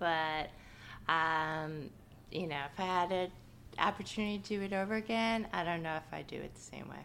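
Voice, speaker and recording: With an American accent, a woman speaks at a moderate pace in a bright, sharp tone and a fairly low pitch. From New York. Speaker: market researcher. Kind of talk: casual interview. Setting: her apartment.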